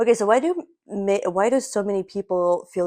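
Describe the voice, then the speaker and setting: A woman with a Russian accent at a moderate pace, dry and close with no echo. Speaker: podcast co-host. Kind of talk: casual chat.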